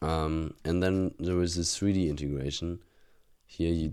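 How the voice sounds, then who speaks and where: With a German accent, a man speaks at a moderate pace in a very deep, low pitch, keeping his intonation fairly even and his loudness very even. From Germany. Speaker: university student. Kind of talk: casual vlog, reviewing exam solutions. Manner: halting, many fillers and restarts.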